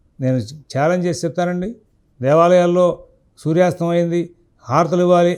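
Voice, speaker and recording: This man's voice has a dark, mellow tone. His intonation stays fairly even. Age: 50s. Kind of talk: religious discourse answering a question.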